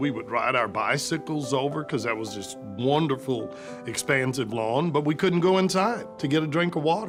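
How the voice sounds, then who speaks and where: A man with an American accent speaks at a moderate pace in a medium pitch, his pitch varying in an ordinary way, with music playing in the background. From Austin, Texas. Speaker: lawyer and former mayor. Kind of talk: interview answer.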